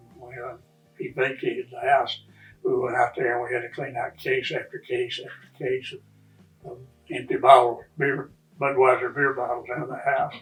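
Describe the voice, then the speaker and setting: A man at a moderate pace, with long, frequent pauses, big swings in loudness and music in the background. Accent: West Texas. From Lubbock, Texas. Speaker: longtime local resident. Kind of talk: oral history interview answer.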